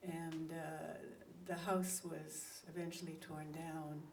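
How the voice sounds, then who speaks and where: Amid noticeable background noise, a woman with a fairly low pitch speaks at a very slow pace in a monotone, flat intonation. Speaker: poet. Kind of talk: casual introduction to a live poetry reading.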